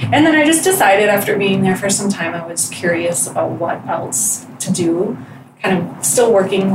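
At a moderate pace, a speaker with an American accent talks over noticeable background noise. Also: woman. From Wisconsin. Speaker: real estate agent. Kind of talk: casual interview. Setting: studio.

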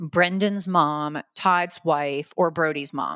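This very clean recording, with a silent background and a dry, close sound with no echo, has a woman with an unremarkable speaking voice speaking in an American accent at a fairly low pitch with ordinary pitch variation. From Florida. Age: 40s. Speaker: headhunter. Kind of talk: interview.

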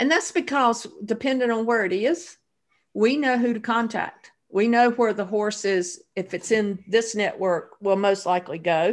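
A woman with a Southern US accent, a fairly high pitch, lively intonation and a moderate pace. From North Carolina. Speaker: nonprofit founder, horse theft advocate. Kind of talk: interview.

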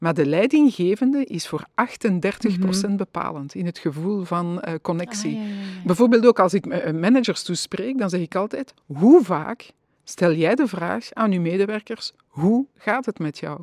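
A woman speaks at a fairly slow pace with lively intonation. The sound is dry and close, with no echo. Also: medium pitch for a woman. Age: 50s. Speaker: wellbeing consultant. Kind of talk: casual interview. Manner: hesitant with many fillers.

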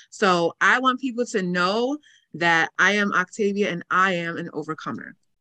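A woman's medium-pitched voice in an American accent, bright and sharp in tone, at a moderate pace with ordinary pitch variation, in a dry, close sound with no echo. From New York area. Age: 20s. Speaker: entrepreneur and author. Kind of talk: casual interview.

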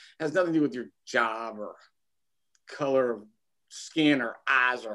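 A man with a Kentucky accent, bright and sharp in tone, at a fairly slow pace. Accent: Kentucky Southern US. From Kentucky, Lexington. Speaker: former teacher and school principal, small business owner. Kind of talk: casual interview.

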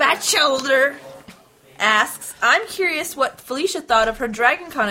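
A woman speaks over noticeable background noise. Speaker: podcast host. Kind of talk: casual chat.

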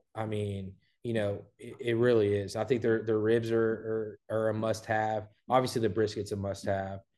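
A man with an American accent speaks at a fairly low pitch in a dark, mellow tone. His intonation is monotone and flat. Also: moderate pace, quiet background. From Southeast Texas (Port Neches, near Beaumont). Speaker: barbecue restaurant owner. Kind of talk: casual interview.

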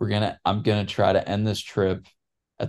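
A man's unremarkable speaking voice, fairly low in pitch, at a moderate pace over a quiet background. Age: 20s. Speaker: cyclist and business student. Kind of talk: casual chat.

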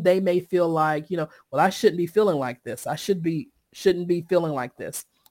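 With a Southern US accent, a woman speaks at medium pitch and a moderate pace. The recording is very clean, with a silent background. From Eastern North Carolina, Sampson County. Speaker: mental health workplace consultant. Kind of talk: interview.

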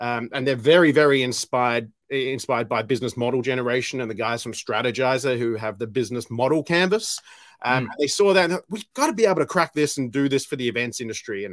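Very fast delivery, ordinary pitch variation, and a very clean recording over a silent background. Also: man, medium pitch for a man. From Australia. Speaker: event industry director. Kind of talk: casual interview.

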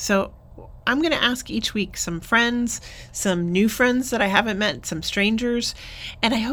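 With lively intonation and a fairly high pitch, a woman talks at a moderate pace in an ordinary speaking voice. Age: 50s. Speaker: pastor. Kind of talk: podcast intro monologue.

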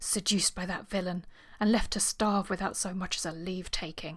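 Using a raspy put-on character voice, a woman speaks at a fairly quick pace and medium pitch with monotone, flat intonation. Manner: throbbing, emotional.

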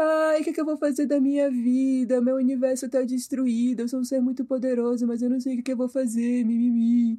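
A woman does a whiny put-on character voice with a high pitch and monotone, flat intonation. She talks at a fairly quick pace with hardly any pauses. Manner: whining, mocking.

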